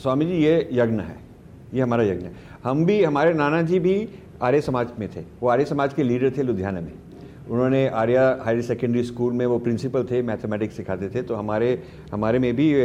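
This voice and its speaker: An unremarkable speaking voice from a man, medium in pitch, moderate in pace, lively in intonation. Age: 60s. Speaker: author and foundation head. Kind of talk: conversational interview.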